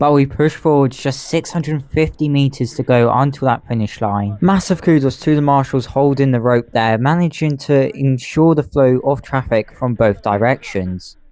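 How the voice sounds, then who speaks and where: This man has an English accent and a fairly high pitch, with lively intonation and a moderate pace. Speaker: running vlogger. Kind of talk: live running commentary. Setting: outdoors, running a race in bad weather. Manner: panting, heavy breathing.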